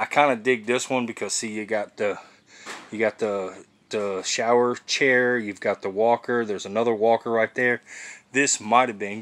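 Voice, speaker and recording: The speaker is a man with fairly even intonation. He talks at a fairly slow pace. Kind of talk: casual vlog chat. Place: garage. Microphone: phone near.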